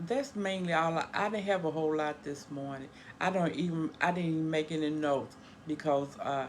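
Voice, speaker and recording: A woman speaks with a very deep, low pitch. Her pace is fairly quick and her pitch variation ordinary. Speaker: home dialysis care partner, vlogger. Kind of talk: casual vlog talk. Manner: halting, stumbling.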